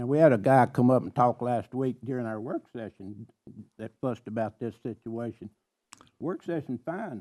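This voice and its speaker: A man with a Tennessee accent speaks at a moderate pace and medium pitch, with ordinary pitch variation and a dark, mellow tone. His loudness swings widely, and the sound is dry and close with no echo. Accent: Southern US (Tennessee). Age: 80s+. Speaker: county commissioner. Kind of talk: public meeting debate. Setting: county commission meeting, televised.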